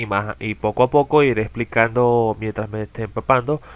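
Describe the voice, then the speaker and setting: In a Caracas accent, a man speaks at a moderate pace. His pitch sits in the medium range and his intonation is fairly even. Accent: Venezuelan Spanish (Caracas). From Venezuela, outskirts of Caracas. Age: 20s. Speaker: gaming content creator. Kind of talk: self-introduction video. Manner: hesitant, with fillers.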